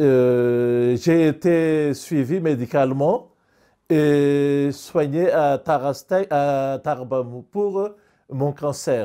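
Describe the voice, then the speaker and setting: A very slow voice with a dark, mellow tone, very even loudness and long, frequent pauses plays over a quiet background. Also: man, fairly high pitch for a man, ordinary pitch variation. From Madagascar. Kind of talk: interview testimony; interview answer. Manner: halting. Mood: serious, reflective. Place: home room. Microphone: lapel.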